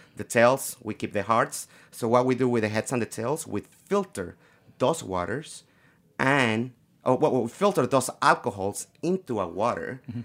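A man of medium pitch speaks at a moderate pace on a very clean recording with a silent background. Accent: Mexican. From Mexico, Guadalajara. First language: Spanish. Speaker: tequila brand ambassador. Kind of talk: casual chat.

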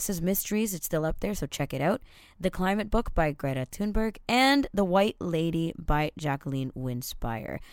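The recording is very clean, with a silent background. A woman with a fairly low pitch speaks at a moderate pace with very wide pitch swings. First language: Tamil. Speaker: podcast host. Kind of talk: casual chat.

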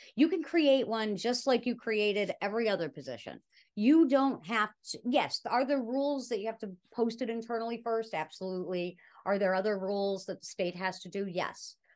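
A plain, everyday voice speaks at a moderate pace with lively intonation. The background is quiet. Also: woman, fairly high pitch for a woman. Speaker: cannabis advocate and speaker. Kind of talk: casual interview chat.

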